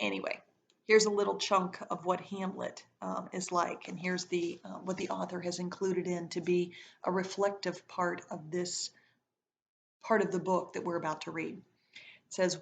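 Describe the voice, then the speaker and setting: A woman speaks at a moderate pace in a fairly low pitch, with vocal fry. Her intonation stays monotone and flat. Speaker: teacher reading aloud to students. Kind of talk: reading aloud.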